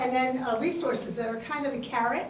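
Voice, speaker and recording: A woman with a New York accent speaks at a high pitch with fairly even intonation. Noticeable background noise and audible room echo are present. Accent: New York City. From New York City, Queens. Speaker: state library official. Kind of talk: conference panel talk.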